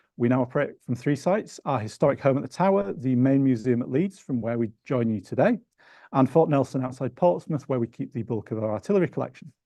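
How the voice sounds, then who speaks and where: A man with medium pitch and a Yorkshire accent speaks at a very fast pace with lively intonation. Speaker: museum research manager, lecture host. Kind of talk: event introduction. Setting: lecture hall with audience, streamed online.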